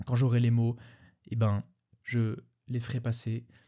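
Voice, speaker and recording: A man's medium-pitched, somewhat breathy voice. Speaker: podcast host. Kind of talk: solo podcast monologue. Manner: fast; halting, stumbling over words.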